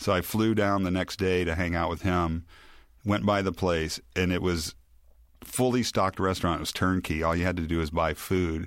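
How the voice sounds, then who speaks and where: A man with a very deep, low voice and an American accent, at a moderate pace with fairly even intonation, on a very clean recording with a silent background. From US South, Memphis, Tennessee. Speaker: rock guitarist. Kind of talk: casual chat. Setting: studio.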